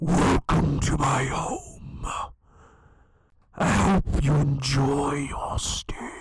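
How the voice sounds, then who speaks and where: A man whispers in a raspy, menacing tone. He goes at a very slow pace with long, frequent pauses. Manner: menacing whisper.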